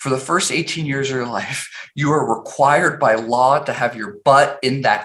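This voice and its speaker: Fairly slow speech from a man with a fairly high voice, noticeable noise in the background. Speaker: tech founder and CEO. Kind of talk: interview conversation.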